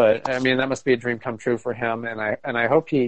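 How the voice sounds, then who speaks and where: Fairly quick speech from a man with an American accent, medium pitch and a plain, everyday voice. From Arizona (Phoenix area). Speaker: podcast co-host. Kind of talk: casual chat.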